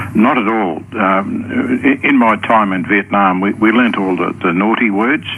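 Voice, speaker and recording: A man with a fairly low voice talks with ordinary pitch variation and hardly any pauses over noticeable background noise. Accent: Australian. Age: 70s. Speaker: Vietnam veteran, caller. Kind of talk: radio call-in chat. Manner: halting.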